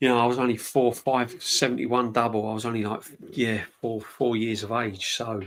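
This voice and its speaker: In a London accent, a man talks at a fairly quick pace with fairly even intonation. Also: medium pitch for a man. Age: 50s. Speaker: football fan channel host. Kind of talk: casual live-stream chat. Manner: conversational, rambling.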